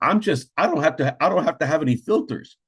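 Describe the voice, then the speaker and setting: Very fast and animated, the somewhat breathy voice makes very wide pitch swings against a quiet background. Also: man. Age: 60s. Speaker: real estate agent. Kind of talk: webinar presentation. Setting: video call.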